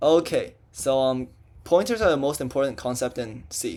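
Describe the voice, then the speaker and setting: Over a silent background on a very clean recording, a man speaks in a normal speaking voice, fairly high in pitch, with lively intonation. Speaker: student tutor teaching programming. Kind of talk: lecture. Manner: casual, filler-heavy.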